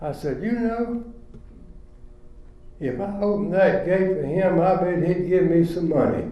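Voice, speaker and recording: Over noticeable background noise and audible room echo, a man with a North Carolina accent and a high pitch speaks at a fairly slow pace with long, frequent pauses. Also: ordinary pitch variation. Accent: Southern US (North Carolina). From US South, rural Chatham County, North Carolina. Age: 90s. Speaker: retirement community resident. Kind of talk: storytelling.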